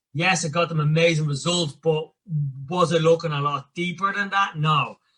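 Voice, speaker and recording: In a Dublin accent, a man speaks at a moderate pace with a high pitch. His tone is bright and sharp, and his intonation is monotone and flat. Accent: Dublin Irish. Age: 30s. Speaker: personal coach. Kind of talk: podcast interview. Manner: casual.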